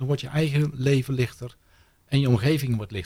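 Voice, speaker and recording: A man's medium-pitched voice sounds somewhat breathy and shows ordinary pitch variation. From Netherlands, Brabant. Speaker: happiness speaker. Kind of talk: radio interview. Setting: studio.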